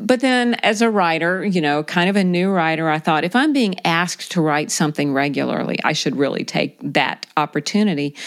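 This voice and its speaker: A woman with an American accent and an ordinary speaking voice talks at a fairly quick pace with hardly any pauses, her fairly low pitch carried by lively intonation at a very even loudness. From South Carolina. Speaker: magazine editor and writer. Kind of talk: casual interview.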